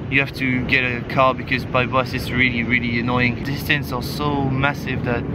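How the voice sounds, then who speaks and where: A man talks at a moderate pace with hardly any pauses. The sound is dry with no echo, but loud background noise is present. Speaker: travel vlogger. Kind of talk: casual vlog chat. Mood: relaxed, reflective. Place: beach. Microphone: camera far.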